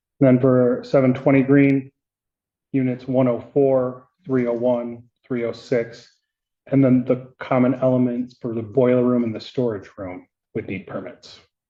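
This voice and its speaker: Speaking at a fairly slow pace, a man uses a medium pitch and monotone, flat intonation. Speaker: city official testifying in court. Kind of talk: courtroom testimony.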